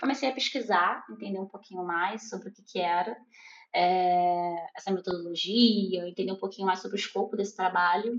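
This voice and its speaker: In a normal speaking voice, a woman talks at a medium pitch and moderate pace, with fairly even intonation and big swings in loudness. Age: 30s. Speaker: product owner. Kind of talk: interview.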